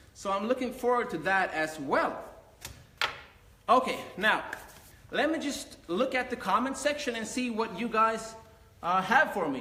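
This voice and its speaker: A man speaks in a raised, projected voice at an extremely high pitch, with lively intonation, a moderate pace and long, frequent pauses, over noticeable background noise and audible room echo. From Sweden. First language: Finnish. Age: 20s. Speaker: karate instructor. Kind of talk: live Q&A. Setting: live stream on laptop.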